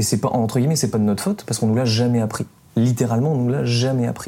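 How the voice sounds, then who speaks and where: Pitch moves in an ordinary way while noticeable background noise plays underneath. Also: man. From south-east France. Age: 20s. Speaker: environmental podcaster. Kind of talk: interview.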